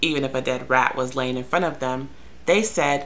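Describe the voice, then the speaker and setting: Her voice is very deep and low for a woman, with ordinary pitch variation. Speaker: vlogger telling a story. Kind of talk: casual vlog chat. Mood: sarcastic, exasperated. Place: home room. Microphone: webcam.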